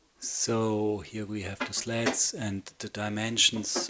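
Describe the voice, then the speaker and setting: A man's fairly low voice at a very slow pace, with noticeable background noise. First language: not English. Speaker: woodworking video maker. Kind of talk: voiceover tutorial narration. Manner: hesitant with fillers.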